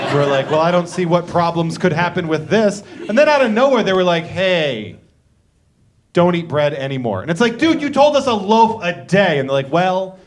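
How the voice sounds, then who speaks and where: A loud man with an American accent, high-pitched, at a moderate pace, with very wide pitch swings. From Boston, Massachusetts. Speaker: comedian and show host. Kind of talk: stand-up. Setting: living room concert with audience.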